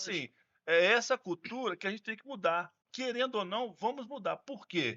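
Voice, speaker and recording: At a moderate pace, a man speaks at a high pitch with big swings in loudness and ordinary pitch variation. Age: 60s. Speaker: gerontologist. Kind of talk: podcast conversation.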